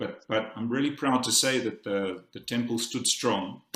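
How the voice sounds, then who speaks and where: With a South African accent, a man speaks at a fairly slow pace and fairly even intonation. Room echo is audible. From South Africa, Cape Town. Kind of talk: conference talk. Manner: halting, many repetitions and fillers.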